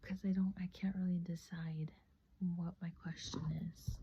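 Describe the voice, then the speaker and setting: This voice is soft-spoken. It moves along fairly slowly. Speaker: tarot hobbyist vlogger. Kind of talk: casual vlog. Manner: halting, filler-heavy.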